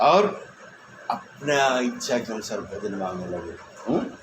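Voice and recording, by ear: In a room with audible echo, a man talks at a fairly slow pace and a medium pitch.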